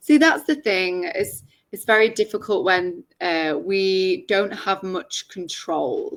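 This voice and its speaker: Speaking very slowly, a woman uses ordinary pitch variation. She has an English accent. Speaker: English tutor. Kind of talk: casual chat. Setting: video call. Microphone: laptop.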